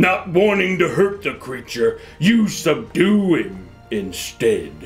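With clear music in the background, a man puts on a gruff, high-pitched character voice and speaks at a fairly slow pace.

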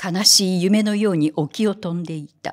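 This woman sounds strained and solemn, her intonation fairly even. The background is quiet. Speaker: reader. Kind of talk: literary audiobook reading. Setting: hall with audience, live reading event. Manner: slow, measured, solemn reading with a wistful, restrained tone. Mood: calm, reflective. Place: hall. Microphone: studio mic.

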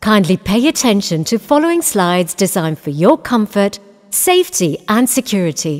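In a British accent, a woman at a medium pitch speaks at a moderate pace with very wide pitch swings. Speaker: voice actor. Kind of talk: cinema safety announcement.

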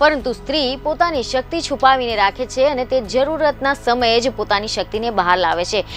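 Over faint background music, a woman with a high pitch speaks with lively intonation in a dry sound with no echo. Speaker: news presenter. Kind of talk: news feature narration. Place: studio.

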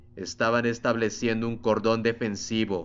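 A man with a medium pitch and a plain, everyday voice speaks at a fairly slow pace. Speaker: audiobook narrator. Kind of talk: literary audiobook reading of a sci-fi novel, dramatic narration with background music. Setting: home recording with background ambient music.

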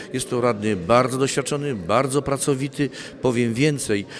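The speaker goes at a moderate pace with ordinary pitch variation. Background noise is noticeable. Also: man. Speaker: village head (mayor). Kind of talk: interview statement. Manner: halting, hesitant with fillers. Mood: calm, reflective. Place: hall. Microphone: handheld.

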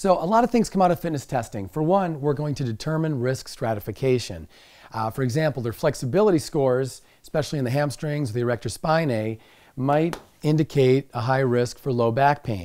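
Here a man speaks at a fairly quick pace in a dark, mellow tone. The background is quiet. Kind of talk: lecture. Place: studio.

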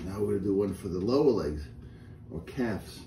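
With a dark, mellow tone and a fairly low pitch, a man speaks somewhat breathily at a moderate pace, with audible room echo and light background noise. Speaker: exercise instructor. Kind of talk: tutorial. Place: home room. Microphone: camera far.

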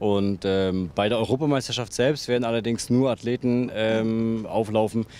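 A man at a moderate pace with ordinary pitch variation, in a dry sound with no echo. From Mecklenburg-Vorpommern, northeastern Germany. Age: 20s. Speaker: goalball player and team captain. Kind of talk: interview. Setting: hotel with panorama view. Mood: calm, friendly. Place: open country. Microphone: handheld.

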